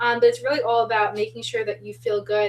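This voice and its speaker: A woman with an American accent. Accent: Long Island, comes out heavy at times. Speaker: spiritual podcast co-host. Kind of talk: casual chat.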